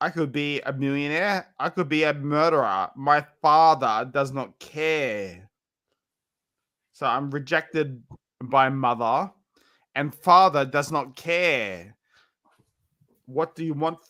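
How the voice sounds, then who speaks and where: A man's bright, sharp voice at a very slow pace, with long, frequent pauses, ordinary pitch variation and a very clean recording over a silent background. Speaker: live streamer. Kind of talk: casual chat.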